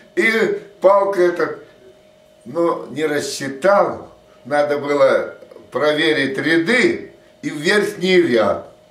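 Amid audible room echo, a man speaks at a very slow pace with long, frequent pauses. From Russian Far East, Vladivostok. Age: 80s+. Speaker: war veteran. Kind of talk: testimony. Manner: halting. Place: home room. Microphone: camera far.

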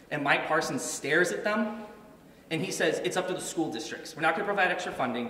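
Very fast speech with ordinary pitch variation and audible room echo. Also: man. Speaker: guest. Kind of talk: press conference speech. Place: hall. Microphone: podium.

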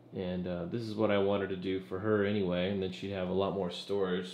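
A fairly quick pace amid light background noise and audible room echo. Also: man. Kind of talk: casual home tour commentary. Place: bathroom. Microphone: phone near.

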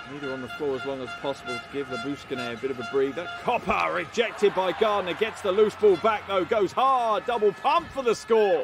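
Over clear background music, a man with a high pitch speaks with hardly any pauses, very wide pitch swings and big swings in loudness, in a dry sound with no echo. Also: fairly quick pace. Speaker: basketball commentator. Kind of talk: live sports commentary over game highlights. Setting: broadcast voiceover.

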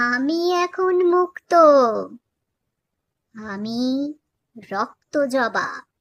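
A shaky, high-pitched put-on character voice. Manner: eerie, vengeful.

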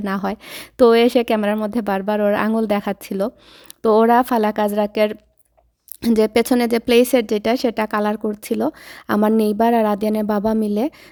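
A woman speaks with a fairly high pitch, a dark, mellow tone and monotone, flat intonation. The recording is very clean with a silent background and a dry, close sound with no echo. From Bangladesh, Sylhet. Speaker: lifestyle vlogger. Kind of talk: vlog narration.

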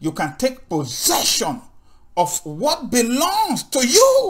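A man talks very slowly, with a quiet background behind him. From Nigeria. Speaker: Bible teacher. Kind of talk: sermon. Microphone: webcam.

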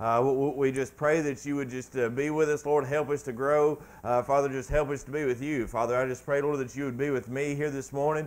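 The intonation is monotone and flat. Delivery is fairly quick, with hardly any pauses. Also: man. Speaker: preacher. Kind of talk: spoken prayer. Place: church.

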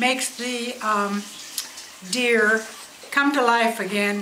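A woman's high voice at a very slow pace, with audible room echo and light background noise. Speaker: great-grandmother. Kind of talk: casual talk. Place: home room. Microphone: camera far.

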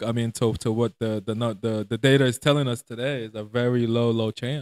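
Over a quiet background, a man talks in a flat monotone with hardly any pauses, the sound dry and free of echo. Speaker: podcast host. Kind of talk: casual chat. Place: home room. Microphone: handheld.

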